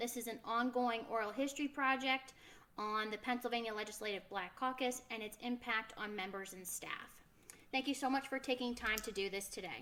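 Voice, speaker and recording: A woman's normal speaking voice, fairly high-pitched, with fairly even intonation at a moderate pace. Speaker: oral history interviewer. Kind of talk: interview questions. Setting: video call.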